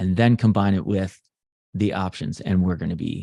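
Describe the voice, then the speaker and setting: A man's fairly low, dark, mellow voice at a moderate pace, dry and close with no echo, on a very clean recording with a silent background. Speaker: stock trading educator. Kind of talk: live tutorial. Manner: casual, hesitant with fillers.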